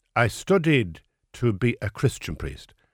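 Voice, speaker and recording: In a very clean recording with a silent background and a dry, close sound with no echo, a man with an Irish accent speaks at a medium pitch with very wide pitch swings and vocal fry. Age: 60s. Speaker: writer and former priest. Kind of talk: interview.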